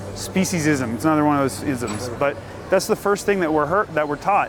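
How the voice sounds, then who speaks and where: A man speaks at a very fast pace with lively intonation. Music plays in the background. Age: 30s. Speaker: vegan street activist. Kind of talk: casual persuasive street conversation.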